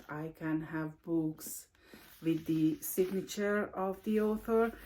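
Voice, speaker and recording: Speaking very slowly with a Hungarian accent, a woman keeps a medium pitch and ordinary pitch variation. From Hungary. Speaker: book vlogger. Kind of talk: casual video monologue. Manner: halting, many fillers.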